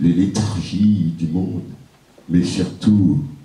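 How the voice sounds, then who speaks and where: Speech unfolds at a very slow pace over noticeable background noise. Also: man. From Martinique. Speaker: poet-griot, performer. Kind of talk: spoken introduction to a live audience.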